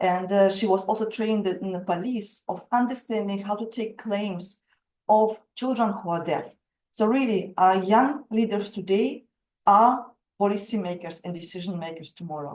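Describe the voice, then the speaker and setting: A woman's medium-pitched voice with a strong Russian accent, at a moderate pace and with ordinary pitch variation. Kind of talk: webinar presentation. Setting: video call webinar.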